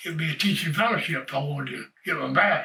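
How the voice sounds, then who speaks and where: A man's fairly high voice in a Southern US accent at a moderate pace. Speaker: retired baseball player and coach. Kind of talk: life story interview. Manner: halting.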